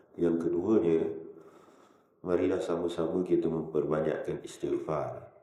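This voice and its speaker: Audible room echo surrounds the recording. The man's pace is fairly slow. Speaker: Islamic religious teacher. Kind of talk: religious lecture. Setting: prayer hall with audience. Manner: slower than usual.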